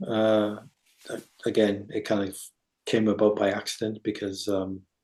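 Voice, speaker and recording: Over a quiet background, a man with an English accent speaks fairly slowly at a fairly low pitch in a dark, mellow tone and a monotone, flat intonation. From England. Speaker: electronic musician. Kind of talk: casual interview. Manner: hesitant, many fillers and repeats.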